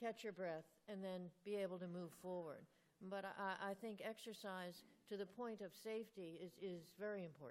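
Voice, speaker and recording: In a normal speaking voice, a woman speaks at a moderate pace with medium pitch and ordinary pitch variation. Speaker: rheumatology professor answering patient questions. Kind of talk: expert Q&A answering audience.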